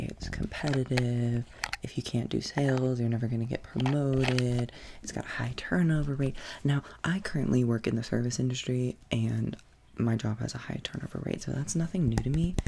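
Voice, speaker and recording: A soft-spoken man talks with ordinary pitch variation. Noticeable background noise runs underneath. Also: medium pitch for a man, moderate pace. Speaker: ASMR creator. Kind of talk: ASMR soft-spoken chat. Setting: in bed at home.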